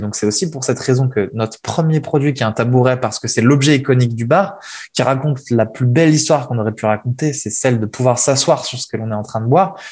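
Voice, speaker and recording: A man with a somewhat breathy voice speaks fairly quickly at a medium pitch with ordinary pitch variation. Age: 20s. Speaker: furniture designer and entrepreneur. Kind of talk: interview. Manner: hesitant, many fillers and repetitions.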